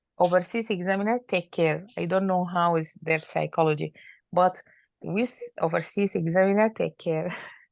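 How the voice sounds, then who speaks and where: A woman speaks at a moderate pace with an Arabic accent and fairly low pitch. Her intonation is fairly even, and the background is quiet. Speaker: doctor. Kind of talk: casual chat. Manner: halting.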